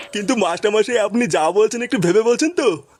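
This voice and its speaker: A man does a cartoonish character voice, pitched high and delivered at a very fast pace. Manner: deferential, placating.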